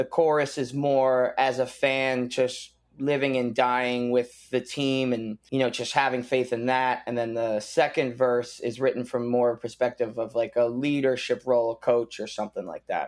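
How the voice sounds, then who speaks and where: In an American accent, a man speaks at a moderate pace and medium pitch with monotone, flat intonation. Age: 30s. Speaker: punk rock musician. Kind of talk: casual interview.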